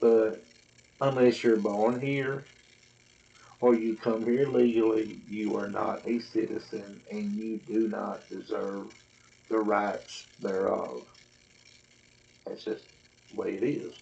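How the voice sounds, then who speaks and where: With a Southern accent, a man speaks very slowly, leaving long, frequent pauses. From US South, Tennessee. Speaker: vlogger. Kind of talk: casual monologue to camera. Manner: rambling.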